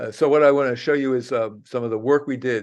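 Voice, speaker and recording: A man speaks in an unremarkable speaking voice at a medium pitch, with ordinary pitch variation. He moves at a fairly quick pace over a quiet background. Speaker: geography professor and biologist. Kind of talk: presentation talk.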